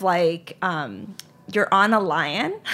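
A woman with an American accent speaks at a medium pitch with fairly even intonation. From Charlotte, North Carolina. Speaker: ice cream company founder. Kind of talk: interview. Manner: hesitant, many fillers.

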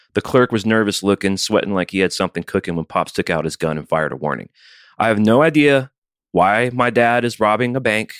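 In a dry, close sound with no echo, a man with a normal speaking voice talks at a fairly quick pace, fairly low in pitch, with lively intonation. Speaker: podcast co-host. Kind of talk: casual chat. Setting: video call.

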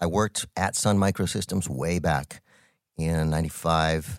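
With an American accent and vocal fry, a man speaks in a very deep, low voice, dry and close with no echo on a very clean recording with a silent background. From New Mexico, US. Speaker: tech entrepreneur, podcast co-host. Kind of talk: casual chat.

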